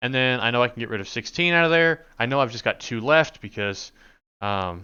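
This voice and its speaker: The man keeps a fairly quick pace, his pitch varying in an ordinary way. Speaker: networking instructor. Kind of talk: tutorial. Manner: fast; casual, conversational.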